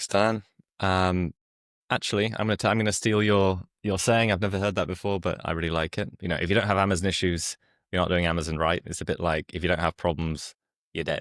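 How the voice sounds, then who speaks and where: A very fast pace with fairly even intonation in a British accent, in a dry, close sound with no echo and a very clean recording with a silent background. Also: man, very deep, low pitch for a man. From UK. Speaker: company founder. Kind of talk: interview.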